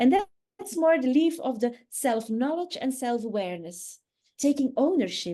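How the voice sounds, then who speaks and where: A woman speaks at a high pitch with a dark, mellow tone. Her pace is moderate. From Netherlands or Belgium (Dutch-speaking). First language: Dutch. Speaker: communication trainer. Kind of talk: online workshop talk. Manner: halting, searching for English words.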